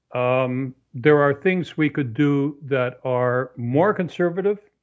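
At a fairly high pitch with ordinary pitch variation, a man talks in an ordinary speaking voice. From Canada. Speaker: author. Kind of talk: interview. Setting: phone or remote call.

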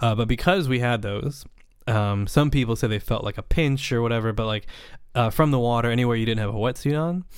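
A man speaks in a normal speaking voice with an American accent. His pitch is medium with ordinary variation, at a moderate pace. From US West Coast, Napa Valley, California. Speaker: underwater cinematographer. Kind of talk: casual chat.

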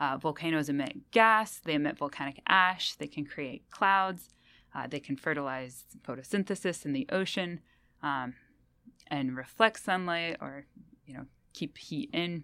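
A woman speaks at a fairly slow pace with a very deep, low pitch. Her tone is bright and sharp, on a very clean recording with a silent background. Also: ordinary pitch variation. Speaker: biogeochemist. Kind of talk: interview. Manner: animated.

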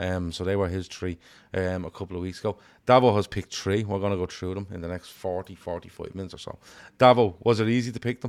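Very fast speech in a Liverpool accent with fairly even intonation on a very clean recording with a silent background. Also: man, very deep, low pitch for a man. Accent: Liverpool Scouse. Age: 40s. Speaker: football fan podcast host. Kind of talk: casual chat.

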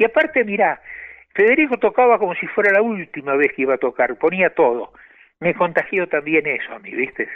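A man speaks with a Rioplatense accent at a fairly quick pace. His high voice makes very wide pitch swings. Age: 80s+. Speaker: tango pianist. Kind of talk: interview.

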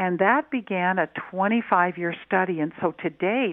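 With lively intonation, the woman talks at a medium pitch. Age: 60s. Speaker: health and wellness coach. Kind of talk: radio interview.

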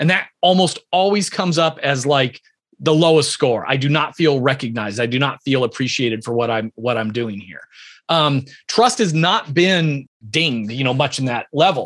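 Lively intonation and a moderate pace from a normal speaking voice. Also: man, fairly high pitch for a man. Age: 50s. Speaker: entrepreneur and leadership author. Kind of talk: interview.

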